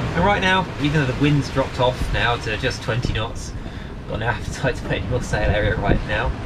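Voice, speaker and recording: Loud background noise fills the clip. A man speaks at a moderate pace. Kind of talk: casual vlog chat. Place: boat. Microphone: camera far.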